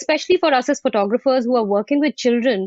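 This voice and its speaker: A high-pitched woman with an Indian accent and ordinary pitch variation. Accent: Indian accent, intact. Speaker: fine art photographer. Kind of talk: video panel interview.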